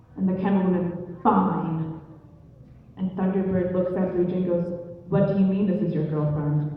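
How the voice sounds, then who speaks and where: With fairly even intonation and a medium pitch, a woman talks as noticeable background noise sounds around her. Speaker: storyteller. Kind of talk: live oral storytelling. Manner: casual, conversational.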